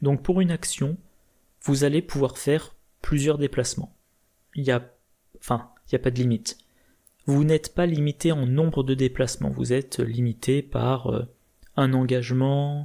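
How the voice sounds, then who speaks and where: A man speaks at a medium pitch with a dark, mellow tone and fairly even intonation. His loudness stays very even at a fairly slow pace, with long, frequent pauses. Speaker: board game video creator. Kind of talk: tutorial.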